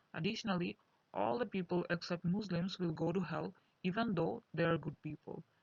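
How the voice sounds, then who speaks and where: At a fairly quick pace, a woman with a Bengali accent speaks in a fairly low, somewhat breathy voice with ordinary pitch variation. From Bangladesh. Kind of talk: personal testimony monologue.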